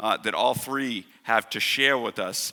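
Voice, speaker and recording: A man speaks at a medium pitch with a Boston accent. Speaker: panel chair. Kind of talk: panel moderation. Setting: theatre stage with audience. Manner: halting, many uh fillers.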